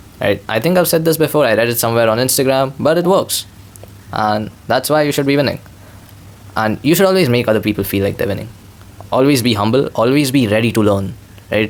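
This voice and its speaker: A man at medium pitch with a non-native accent talks at a very fast pace, yet with long, frequent pauses. His intonation is lively and his loudness very even. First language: not English. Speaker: vlogger. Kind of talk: casual monologue. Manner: rambling, repetitive filler.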